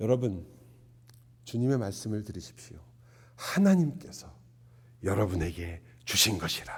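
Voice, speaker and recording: Speaking at a moderate pace, a man with a fairly low, somewhat breathy voice swings his pitch very widely. Long, frequent pauses break up his speech, and audible room echo surrounds it. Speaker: pastor. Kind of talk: sermon.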